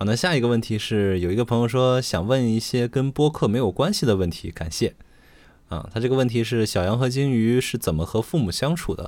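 On a very clean recording with a silent background, a man in a plain, everyday voice speaks fairly quickly at medium pitch with lively intonation. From Xi'an, Shaanxi. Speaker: podcast co-host. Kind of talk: casual chat.

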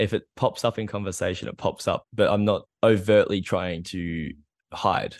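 A man's rather low voice keeps a moderate pace and a mostly level intonation. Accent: Australian. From Australia. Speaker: PhD student. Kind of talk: casual chat. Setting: video call. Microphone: good microphone.

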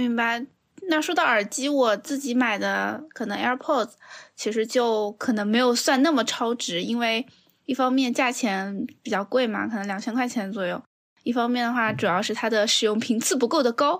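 On a very clean recording with a silent background, a woman speaks at a moderate pace in an unremarkable speaking voice, fairly high in pitch with ordinary pitch variation. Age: 30s. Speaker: podcast host, course producer. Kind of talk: casual chat.

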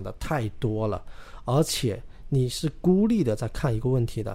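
A man talks at a moderate pace with a medium pitch. His tone is dark and mellow. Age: 30s. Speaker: real estate podcast co-host. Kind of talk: casual chat.

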